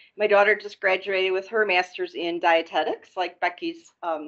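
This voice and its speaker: In a plain, everyday voice, a woman with an American accent talks at a moderate pace with hardly any pauses. Her medium pitch follows a fairly even intonation. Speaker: healthcare executive. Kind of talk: panel discussion introduction.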